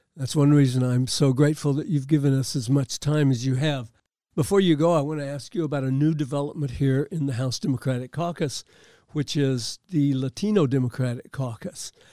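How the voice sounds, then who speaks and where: A man's fairly high voice with a dark, mellow tone at a fairly quick pace, dry and close with no echo. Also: ordinary pitch variation, very clean recording, silent background. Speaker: podcast host. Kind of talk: podcast interview. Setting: makeshift studio.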